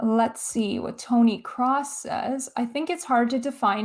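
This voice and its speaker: A woman's unremarkable speaking voice at a moderate pace, with a Canadian accent and fairly even intonation. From Canada. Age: 30s. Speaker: film YouTuber. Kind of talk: livestream chat reading viewer comments. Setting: livestream.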